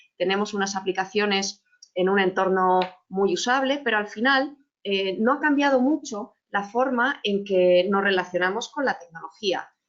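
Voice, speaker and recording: Very even loudness, ordinary pitch variation and a moderate pace. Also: woman, medium pitch for a woman. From Chile. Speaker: business technology executive. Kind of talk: webinar presentation. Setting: online webinar with slides. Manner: frequent hesitations and word repetitions.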